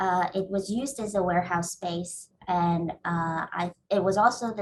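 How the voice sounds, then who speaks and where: A woman speaks at a moderate pace with a somewhat breathy voice. Her intonation stays fairly even. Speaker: real estate developer. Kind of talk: panel presentation. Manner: halting, many fillers.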